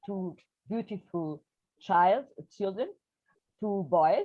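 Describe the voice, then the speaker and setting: A woman of medium pitch speaks fairly slowly with a Portuguese accent. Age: 60s. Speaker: poet. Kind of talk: interview. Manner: halting.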